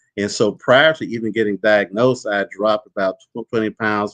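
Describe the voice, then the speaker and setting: Recorded dry and close with no echo, a man speaks fairly quickly in a fairly low voice with fairly even intonation. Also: hardly any pauses. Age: 60s. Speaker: prostate cancer survivor. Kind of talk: testimony. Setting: webinar. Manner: halting, many fillers.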